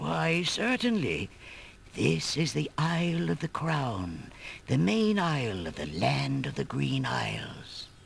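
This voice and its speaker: Over clear background noise, a man does a put-on character voice at a fairly slow pace and a fairly low pitch. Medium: video game.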